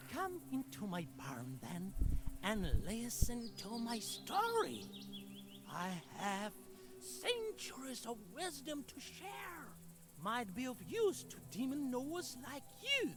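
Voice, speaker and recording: A man's put-on character voice at a fairly slow pace, with long, frequent pauses over clear background noise. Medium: video game.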